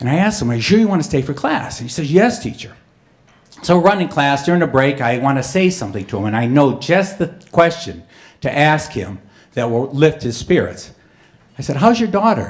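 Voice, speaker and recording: This man speaks at a fairly quick pace with a somewhat breathy voice. His fairly high pitch moves in very wide swings. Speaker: storyteller. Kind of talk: live storytelling performance.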